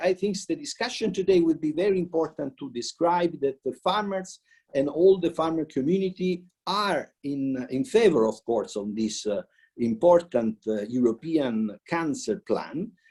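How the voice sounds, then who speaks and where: In an Italian accent, a man speaks at a high pitch with a dark, mellow tone. His pace is moderate and his pitch swings very widely. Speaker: politician. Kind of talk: welcome speech. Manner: halting.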